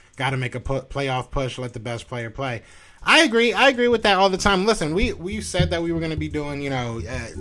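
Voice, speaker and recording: A loud man with an American accent, fairly high pitch, very wide pitch swings and a fairly quick pace. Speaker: sports podcast host. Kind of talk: live stream sports talk. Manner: animated.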